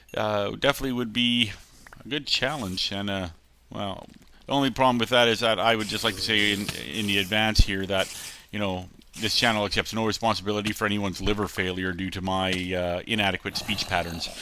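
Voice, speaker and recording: The man's voice is fairly low in pitch with a bright, sharp tone. He moves at a fairly quick pace with fairly even intonation. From Canada, central Alberta. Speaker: gaming channel host. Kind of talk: casual gameplay commentary. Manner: hesitant, many filler words.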